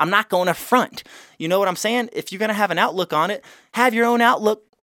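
A man projects his voice, raised, with a high pitch. His tone is bright and sharp, with ordinary pitch variation. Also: dry, close sound with no echo. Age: 20s. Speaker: podcast host. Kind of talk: solo podcast monologue. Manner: casual, profane.

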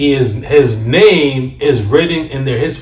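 Noticeable noise sits behind a man talking at a medium pitch. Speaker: podcast host. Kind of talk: heated argument, friends bantering about football. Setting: studio. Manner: loud, fast, overlapping talk, animated and combative.

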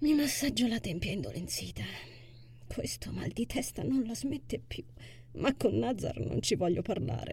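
Pausing long and often, a woman speaks at a moderate pace in an anxious, warm tone. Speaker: audiobook narrator and author. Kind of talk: literary audiobook reading of a first-person novel, intimate narration with dialogue.

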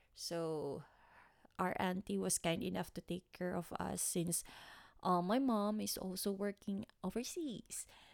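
A woman speaks in a Filipino accent at a fairly slow pace. Her pitch varies in an ordinary way. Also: medium pitch for a woman. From Philippines, Manila area. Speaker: podcast host. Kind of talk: personal storytelling monologue. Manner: halting, many fillers.

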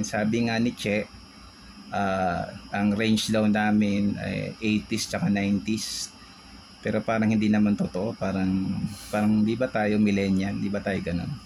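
A man with fairly low pitch at a fairly slow pace, with noticeable background noise. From Philippines, Tondo, Manila. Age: 40s. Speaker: podcast co-host. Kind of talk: casual chat.

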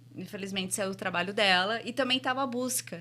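Slight English accent from a woman, fairly high-pitched with a bright, sharp tone and ordinary pitch variation. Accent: slight English accent in her Portuguese. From Brazil, Santo André, São Paulo. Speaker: entrepreneur and franchise investor. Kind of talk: interview. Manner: halting.

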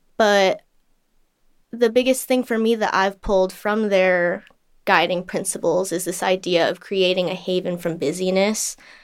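A woman speaks at medium pitch and moderate pace with fairly even intonation on a very clean recording with a silent background. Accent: Californian. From Southern California, Los Angeles. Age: 20s. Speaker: climate activist and artist. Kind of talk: interview conversation.

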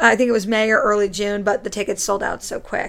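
Over noticeable background noise, a woman with an American accent talks at a fairly quick pace and a fairly high pitch. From Connecticut, US. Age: 20s. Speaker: YouTuber and drama student. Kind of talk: casual chat.

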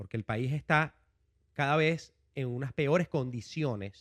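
Against a quiet background, a man with a fairly high pitch speaks at a very slow pace in a dry, close sound with no echo. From Venezuela, Caracas. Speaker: education entrepreneur. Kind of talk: casual interview.

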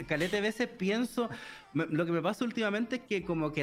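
A man speaks at a very fast pace with a Chilean accent. His intonation is lively, and background noise is noticeable. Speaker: translator, streamer and youtuber. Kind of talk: casual chat.

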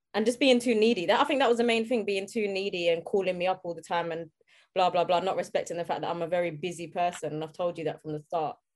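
Very fast speech from a woman with a London accent, medium pitch and ordinary pitch variation, in a very clean recording with a silent background. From South London. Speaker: comedian and social media commentator. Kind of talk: casual chat.

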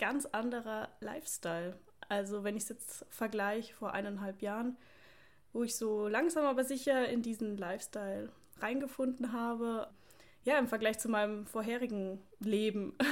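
A woman with an unremarkable speaking voice talks at a fairly high pitch and a moderate pace. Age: 20s. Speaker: podcast co-host, police officer and online fitness coach. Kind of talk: casual chat.

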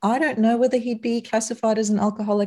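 A woman with a South African accent speaks in a dark, mellow tone. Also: very clean recording, silent background. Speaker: psychologist turned non-alcoholic drinks business owner. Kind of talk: casual interview.

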